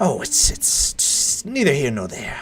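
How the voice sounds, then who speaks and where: This is a put-on character voice at a moderate pace. Light background noise can be heard. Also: man. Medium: actual play. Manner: doting, fussy.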